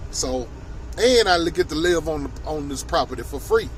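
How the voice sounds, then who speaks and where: Noticeable background noise accompanies a man who talks fairly quickly. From Tennessee. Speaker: vlogger, chef. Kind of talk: casual storytelling vlog. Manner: casual, hesitant with many fillers.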